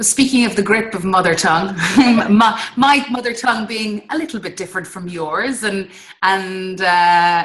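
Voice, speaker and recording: In an Irish accent, a woman with a medium pitch speaks at a moderate pace, with ordinary pitch variation and big swings in loudness. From Ireland. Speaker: interviewer, English teacher trainer. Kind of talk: interview.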